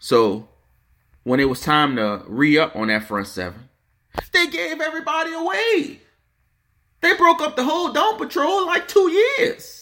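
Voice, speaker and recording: In a New Orleans accent, a man talks in an animated tone, leaving long, frequent pauses. The recording is very clean, with a silent background. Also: moderate pace. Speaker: podcast host. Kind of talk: casual sports rant.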